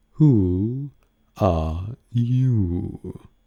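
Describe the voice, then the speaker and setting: A man's put-on, drawling character voice, fairly low in pitch, with lively intonation. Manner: sleepy, drawling.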